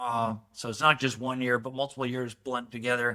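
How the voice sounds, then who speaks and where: In an American accent, a man speaks at a moderate pace with a bright, sharp tone. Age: 60s. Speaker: winery owner. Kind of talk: interview. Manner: hesitant, many fillers and repeats.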